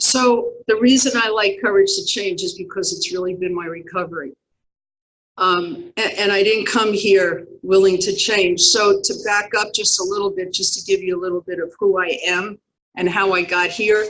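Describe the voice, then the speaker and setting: A woman speaks in an American accent at a moderate pace, with an ordinary speaking voice. Her pitch is medium, with ordinary pitch variation. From New York. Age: 60s. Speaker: recovery speaker. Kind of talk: testimony.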